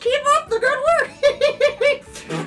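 A put-on character voice plays over faint music in the background.

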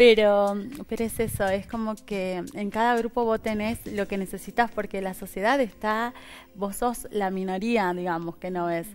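Speaking at a fairly slow pace, a woman keeps her intonation fairly even. Light background noise can be heard. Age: 30s. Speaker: interview guest. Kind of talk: interview. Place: studio. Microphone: headset.

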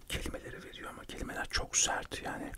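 Whispering at a moderate pace, a man speaks. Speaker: radio show host and poet/writer. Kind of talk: ASMR chat about his life, whispered, chewing gum. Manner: whispered, soft, chatty. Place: home room. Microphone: studio mic.

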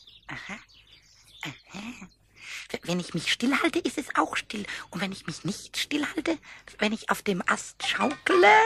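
A man's put-on character voice, high-pitched, at a fairly slow pace. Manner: excited, stammering.

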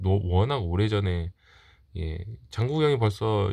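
At a very slow pace, a man speaks with a fairly low voice and ordinary pitch variation. The background is quiet. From South Korea. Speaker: collector YouTuber. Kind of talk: show-and-tell monologue; casual vlog chat. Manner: halting, many fillers. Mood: calm, reflective, nostalgic. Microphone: phone near.

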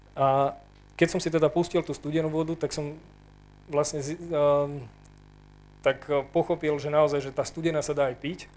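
Speaking at a moderate pace with long, frequent pauses, a man with a fairly high pitch keeps a monotone, flat intonation. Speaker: panel member. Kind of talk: testimony. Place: hall. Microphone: handheld.

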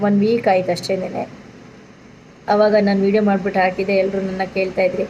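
A woman's medium-pitched voice stays monotone, with flat intonation throughout. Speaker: vlogger and village service centre owner. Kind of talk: informational vlog.

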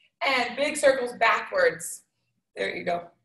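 Over a quiet background, a woman with a high pitch speaks in a room with audible echo. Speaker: fitness instructor. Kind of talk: workout instruction. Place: gym. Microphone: video call.

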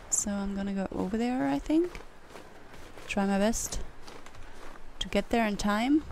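A woman is speaking with a non-native accent. Her pitch varies in an ordinary way. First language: not English. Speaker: gaming YouTuber. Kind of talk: casual gameplay commentary.

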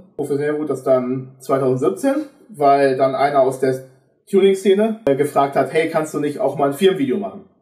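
Fairly high male voice at a moderate pace, ordinary pitch variation, audible room echo and a quiet background. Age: 20s. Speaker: videographer; podcast guest. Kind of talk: casual chat. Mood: relaxed, humorous. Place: home room.

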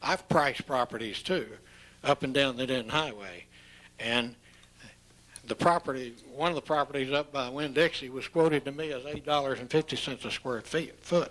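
Here a man speaks at a fairly high pitch. His pace is moderate and his pitch varies in an ordinary way. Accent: Texan. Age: 70s. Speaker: property owner. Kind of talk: public hearing remarks. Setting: city council meeting. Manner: halting.

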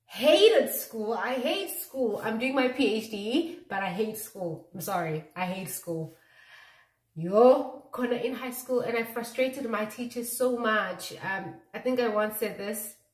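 At a very slow pace, a woman speaks at a fairly high pitch with audible room echo and a quiet background. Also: lively intonation. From South Africa, Mpumalanga (Malelane); Mpumalanga, South Africa. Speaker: YouTuber; vlogger. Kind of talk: casual chat. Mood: playful, self-mocking. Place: bathroom. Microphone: phone near.

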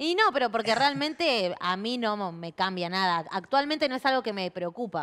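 A woman talks at a moderate speed, her fairly high voice rising and falling very widely. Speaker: TV show host. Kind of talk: interview.

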